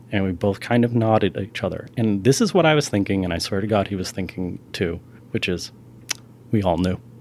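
A man talks at a fairly quick pace in a fairly low voice. He has an American accent and ordinary pitch variation. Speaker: film critic and writer. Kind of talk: casual chat.

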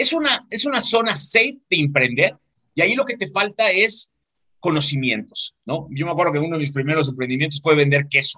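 Fairly high-pitched, this man has a bright, sharp tone. He talks at a fairly quick pace. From Mexico, southeast. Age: 40s. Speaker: business mentor. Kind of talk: casual interview.

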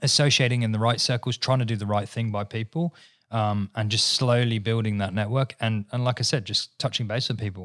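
With an English accent, a man speaks at a fairly quick pace and medium pitch in fairly even intonation, the sound dry and close with no echo on a very clean recording with a silent background. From England. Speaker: business owner. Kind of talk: casual chat.

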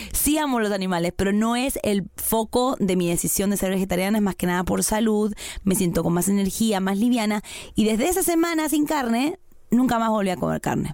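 With an Argentine accent, a woman speaks at a fairly quick pace and medium pitch, her intonation lively and her loudness very even. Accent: Argentine Spanish (voseo). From Argentina. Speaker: podcast co-host. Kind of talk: casual chat.

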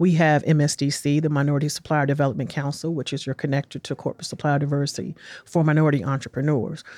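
A woman's very deep, low voice with a dark, mellow tone and an American accent, very fast and monotone, on a very clean recording with a silent background. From Washington, D.C. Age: 50s. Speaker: city small business development director. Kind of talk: interview. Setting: studio.

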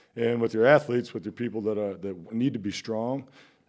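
A man's medium-pitched voice, dark and mellow in tone, at a fairly quick pace. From Iowa, US Midwest. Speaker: strength coach, course creator. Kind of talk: casual interview.

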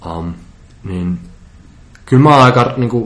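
A man's fairly quick speech with lively intonation. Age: 20s. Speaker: composer, futurist and public speaker. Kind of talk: casual interview chat.

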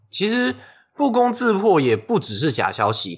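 In a very clean recording with a silent background, a man speaks at a fairly slow pace with vocal fry and very wide pitch swings. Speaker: podcast co-host. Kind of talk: scripted discussion of news. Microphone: non-studio recording, sharper thinner sound.

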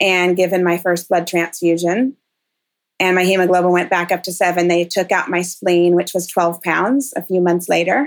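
In an unremarkable speaking voice, a woman talks at a moderate pace with a fairly low pitch and fairly even intonation. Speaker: patient advocate living with thalassemia. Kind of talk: interview testimony.

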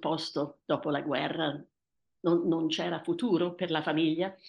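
A woman against a quiet background. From Tanzania, to Italian parents. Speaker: author. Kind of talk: personal storytelling interview. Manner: hesitant, repeating words.

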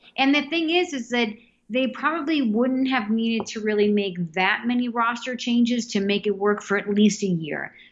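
Speaking in a Boston accent, a woman has a fairly high pitch and lively intonation. Her pace is moderate. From Massachusetts, South Boston. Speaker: hockey fan. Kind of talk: casual chat.

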